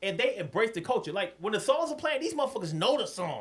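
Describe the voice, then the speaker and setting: In an animated tone, a man with an extremely high pitch talks at a fairly quick pace with very wide pitch swings. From New York. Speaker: podcast co-host. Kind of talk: casual chat. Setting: livestream.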